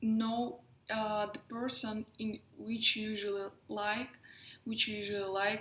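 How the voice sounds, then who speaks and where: With a Russian accent, a woman talks at a fairly high pitch with fairly even intonation. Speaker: astrologer and tarot reader. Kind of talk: casual talk to camera. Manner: halting.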